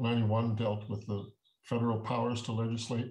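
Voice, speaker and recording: Against a quiet background, a man with a Canadian accent speaks at a fairly low pitch in a somewhat breathy voice. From Ontario, Canada. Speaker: Métis elder and negotiator; guest. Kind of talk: talk with history lesson. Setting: video call. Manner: halting, many fillers. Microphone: webcam.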